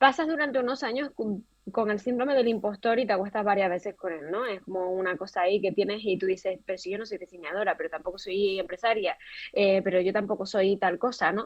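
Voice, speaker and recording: This woman speaks in a Canarian accent. She goes at a very fast pace with ordinary pitch variation. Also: medium pitch for a woman. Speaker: fashion entrepreneur and creative director. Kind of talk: interview. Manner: animated.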